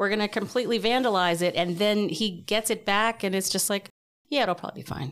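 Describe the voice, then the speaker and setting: Recorded very cleanly against a silent background, a woman speaks at a medium pitch with ordinary pitch variation. Hers is a plain, everyday voice. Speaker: podcast guest. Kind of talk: casual chat.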